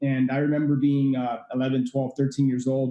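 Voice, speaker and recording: This man has an American accent and a fairly high pitch. He talks at a very fast pace. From Miami, Florida (Cuban family). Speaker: real estate investor and podcast host. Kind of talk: interview. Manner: many fillers (uh, you know).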